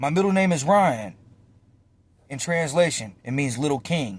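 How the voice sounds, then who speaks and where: With an American accent, a man speaks at a fairly high pitch, his intonation lively and his tone animated. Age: 20s. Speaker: vlogger and storyteller. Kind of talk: casual monologue to camera. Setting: in a car.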